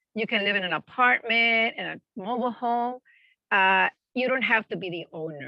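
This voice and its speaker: With a Spanish accent, a woman speaks at a moderate pace. Her pitch varies in an ordinary way. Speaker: family childcare provider. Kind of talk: presentation Q&A.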